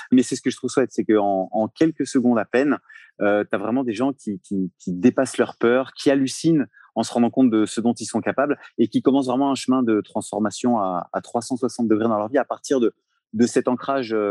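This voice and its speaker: Against a quiet background, a man with a dark, mellow tone speaks at a fairly quick pace, with a dry, close sound and no echo. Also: medium pitch for a man, ordinary pitch variation. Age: 40s. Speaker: cold therapy coach. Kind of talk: interview conversation.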